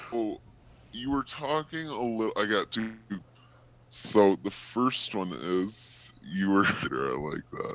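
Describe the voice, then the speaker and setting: Each word comes at a very slow pace from the man. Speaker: audience member asking questions. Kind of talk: audience Q&A question. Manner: halting.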